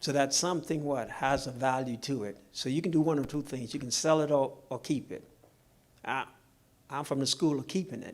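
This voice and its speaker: Over a very clean recording with a silent background, a man with a Bahamian accent speaks fairly quickly at a fairly high pitch, keeping his intonation fairly even. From Bahamas. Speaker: financial seminar speaker. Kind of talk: seminar Q&A answer. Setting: live-streamed seminar with audience. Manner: engaging, uses rhetorical questions to audience.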